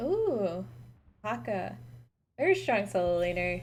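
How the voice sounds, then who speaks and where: A woman's medium-pitched voice at a very slow pace, with very wide pitch swings and audible room echo. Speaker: esports caster. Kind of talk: live commentary. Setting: live stream. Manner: animated.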